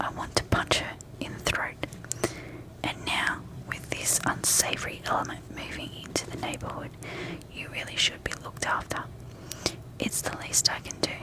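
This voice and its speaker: Whispered words break into long, frequent pauses as noticeable background noise runs beneath. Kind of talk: sleep story. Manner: soft-spoken; calm, slow-paced.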